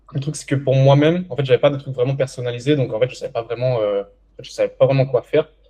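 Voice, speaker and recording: Somewhat breathy with a dark, mellow tone, a man of medium pitch talks at a fairly quick pace with fairly even intonation. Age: 20s. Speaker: young entrepreneur and coaching client. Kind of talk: interview testimony. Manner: hesitant, many fillers.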